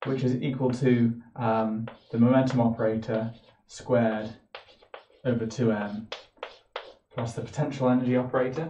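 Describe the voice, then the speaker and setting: With audible room echo and light background noise, a man speaks in a flat monotone. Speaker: physics lecturer. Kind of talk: lecture. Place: home room. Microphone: camera far.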